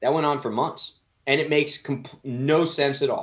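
A man with an American accent talks in a normal speaking voice, fairly high in pitch, at a moderate pace. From New Jersey, Somerset County. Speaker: restaurant owner, celebrity chef. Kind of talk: casual interview.

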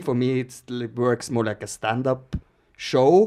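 A man with a Norwegian accent speaks at a fairly slow pace. His pitch is medium. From Norway. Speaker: podcast host, activist. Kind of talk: casual chat. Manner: halting, many fillers.

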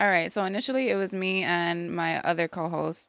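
A woman's fairly low voice in a New York accent, on a very clean recording with a silent background. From New York, the Bronx. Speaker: speech therapist and podcast host. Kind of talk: casual chat.

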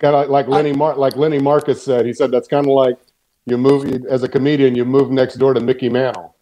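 A man talks at a very fast pace with a Texan accent. His intonation stays flat and monotone. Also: medium pitch for a man. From Texas. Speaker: podcast guest. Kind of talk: casual chat.

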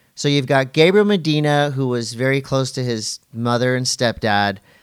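On a very clean recording with a silent background, a man speaks in a plain, everyday voice at a medium pitch with ordinary pitch variation. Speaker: event host and podcaster. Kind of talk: casual banter podcast.

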